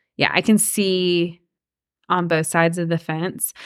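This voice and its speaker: A woman's fairly low voice is captured on a very clean recording against a silent background. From Georgia, Cherokee County. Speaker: realtor. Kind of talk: interview conversation.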